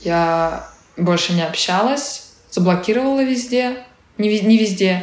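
Against noticeable background noise and audible room echo, a woman speaks with lively intonation. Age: 20s. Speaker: actress and blogger. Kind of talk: interview.

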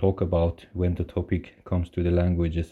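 With a very deep, low pitch, a man speaks at a moderate pace. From Iran (Kurdish). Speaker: guest, husband of a host. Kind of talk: prepared recorded monologue.

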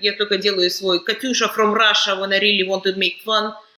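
Noticeable background noise runs throughout. The speaking pace is moderate. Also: woman. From Kazakhstan. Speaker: podcast host. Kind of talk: casual chat.

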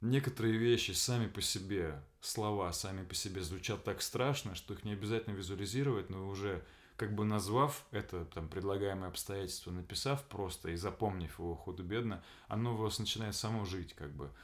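A man talks in a normal speaking voice at a fairly low pitch. His pace is fairly quick, with ordinary pitch variation. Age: 30s. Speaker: actor. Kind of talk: casual chat. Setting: home room recording with friend.

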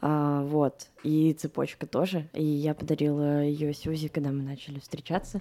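This woman has a very deep, low pitch and a dark, mellow tone, with flat, monotone intonation. She talks at a fairly slow pace with hardly any pauses, on a very clean recording with a silent background. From Moscow, Russia. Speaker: producer. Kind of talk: casual chat.

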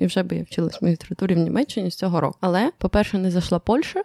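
With vocal fry and a dark, mellow tone at medium pitch, a woman talks at a very fast pace on a very clean recording with a silent background and a dry, close sound with no echo. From Ukraine. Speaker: podcast editor and co-host. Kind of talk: casual chat.

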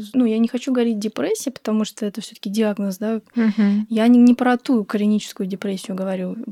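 A woman with a dark, mellow tone and fairly high pitch talks at a fairly quick pace with hardly any pauses, in a dry, close sound with no echo. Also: fairly even intonation. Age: 20s. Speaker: guest sharing fertility journey. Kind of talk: casual chat.

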